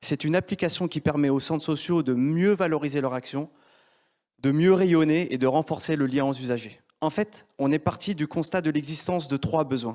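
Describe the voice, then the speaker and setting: On a very clean recording with a silent background, a man with an unremarkable speaking voice talks at a moderate pace in a fairly high pitch with ordinary pitch variation. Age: 40s. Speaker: entrepreneur. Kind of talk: pitch presentation. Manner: formal.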